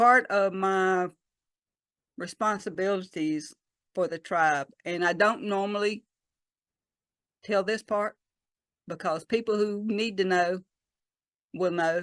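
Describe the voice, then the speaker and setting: Speaking with a Southern US accent at a very slow pace, a woman with medium pitch and fairly even intonation leaves long, frequent pauses, in a dry, close sound with no echo and a quiet background. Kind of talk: talk to a church congregation. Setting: church service.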